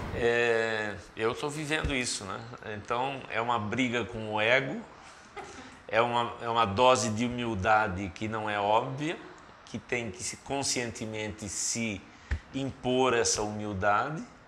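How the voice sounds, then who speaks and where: A man speaks at a fairly slow pace with a medium pitch and fairly even intonation. The room echo is audible, and there is noticeable background noise. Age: 60s. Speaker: senior executive consultant. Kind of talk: casual chat.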